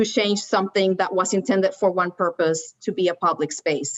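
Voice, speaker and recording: With a Spanish accent, a woman of medium pitch speaks at a moderate pace with ordinary pitch variation. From Puerto Rico. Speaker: landscape architect. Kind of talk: panel discussion. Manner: halting.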